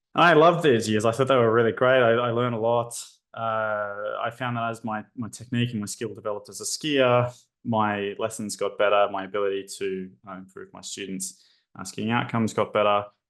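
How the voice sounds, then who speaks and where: The speaker has an Australian accent and a fairly quick pace. Loudness swings widely, while pitch varies in an ordinary way. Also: man, medium pitch for a man. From Australia, Brisbane. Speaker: psychology lecturer. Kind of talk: webinar presentation. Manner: hesitant, many fillers.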